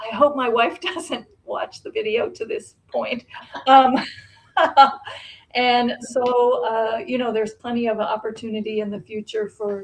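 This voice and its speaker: A woman speaks at a fairly slow pace with a high pitch. Her pitch varies in an ordinary way. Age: 60s. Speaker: fashion guest with original style. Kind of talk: casual interview chat. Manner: halting, many fillers.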